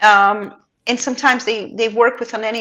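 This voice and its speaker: Pitched fairly high, a woman talks with a non-native accent. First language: not English. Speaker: pet transport expert. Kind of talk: casual chat.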